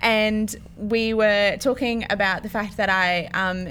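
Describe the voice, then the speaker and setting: A woman is speaking. She has an Australian accent. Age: 20s. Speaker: podcast co-host, church office worker. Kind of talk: casual chat.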